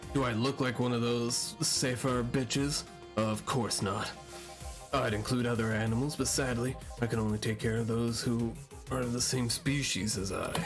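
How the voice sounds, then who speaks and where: A man speaks at a medium pitch in a put-on character voice. Loud music plays behind his moderate pace. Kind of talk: comic overacting. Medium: game stream. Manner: commanding, blustering, mock-military.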